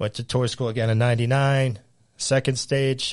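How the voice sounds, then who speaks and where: With an American accent, a man talks at a moderate pace and medium pitch in a plain, everyday voice against a quiet background. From Central Massachusetts. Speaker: high school golf coach. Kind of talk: casual interview chat.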